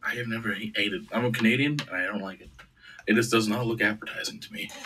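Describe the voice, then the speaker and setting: A man speaks very fast at a medium pitch, with big swings in loudness. Noticeable background noise runs underneath. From Canada, Oshawa, Ontario. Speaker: podcast host. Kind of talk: casual chat. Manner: animated.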